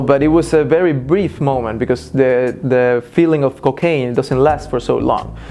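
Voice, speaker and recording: Speaking with a Spanish accent, a man uses a fairly high pitch and fairly even intonation at a fairly slow pace. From Mexico, Cancun. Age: 20s. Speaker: former drug user. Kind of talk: interview testimony. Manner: hesitant, many fillers.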